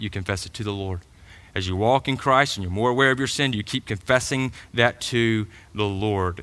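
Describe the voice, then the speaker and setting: Speaking at a fairly quick pace in a Georgia accent, a man with a medium pitch and a bright, sharp tone uses ordinary pitch variation on a very clean recording with a silent background. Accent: Southern American (Georgia). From US South, middle Georgia. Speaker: pastor. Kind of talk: sermon. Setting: church.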